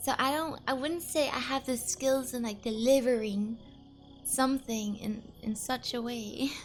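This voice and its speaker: With music in the background, a woman speaks in a high pitch at a fairly slow pace. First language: not English. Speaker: vtuber streamer. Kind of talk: casual chat.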